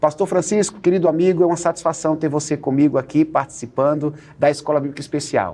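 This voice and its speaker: A man at a very fast pace, fairly high in pitch, with fairly even intonation. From Northeast Brazil. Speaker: pastor and Bible study teacher. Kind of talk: TV Bible study dialogue.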